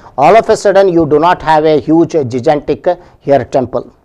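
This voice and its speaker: In a quiet background, a man with a fairly high pitch and a dark, mellow tone speaks at a moderate pace. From India. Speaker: coaching centre history teacher; history lecturer. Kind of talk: lecture. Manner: hesitant with frequent fillers. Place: studio. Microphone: lapel.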